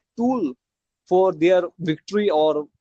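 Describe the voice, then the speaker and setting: A man's high-pitched voice with a non-native accent and ordinary pitch variation, dry and close with no echo. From India. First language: not English. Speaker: podcast guest. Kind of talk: interview. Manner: halting.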